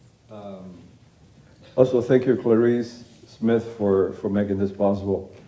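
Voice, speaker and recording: The room echo is audible as a man speaks fairly slowly. His pitch is medium and his intonation fairly even. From Cuba. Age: 60s. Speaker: artist, photographer. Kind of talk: lecture. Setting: auditorium stage with audience.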